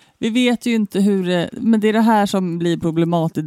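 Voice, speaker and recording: A woman's dark, mellow tone at a fairly quick pace. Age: 30s. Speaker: podcast co-host. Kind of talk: casual chat.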